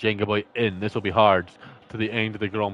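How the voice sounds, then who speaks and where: A man talks at a moderate pace with a Scottish accent. His pitch sits fairly low. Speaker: sim racing league commentator. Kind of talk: live commentary.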